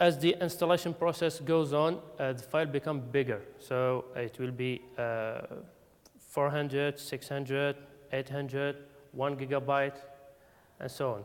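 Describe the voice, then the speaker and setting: With a non-native accent, the speaker goes at a fairly slow pace with fairly even intonation. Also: man, fairly high pitch for a man. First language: not English. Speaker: conference speaker. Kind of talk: technical talk. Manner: halting, many fillers.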